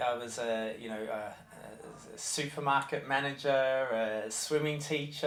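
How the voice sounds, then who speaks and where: A man with an Australian accent talks at a medium pitch with fairly even intonation. Audible room echo surrounds his voice. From Australia, Melbourne. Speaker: nursery head teacher. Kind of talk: interview. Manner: halting.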